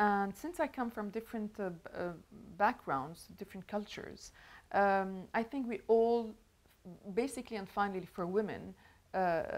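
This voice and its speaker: Moderate pace from a woman with a French accent, medium pitch and ordinary pitch variation, on a very clean recording with a silent background. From Lebanon. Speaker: show host. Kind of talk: interview chat. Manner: halting, many fillers.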